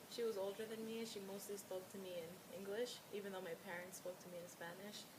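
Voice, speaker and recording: In an American accent, the speaker talks at a moderate pace with ordinary pitch variation, amid noticeable background noise and audible room echo. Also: woman. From New York, US. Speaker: client (role-play). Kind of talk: role-play counseling session.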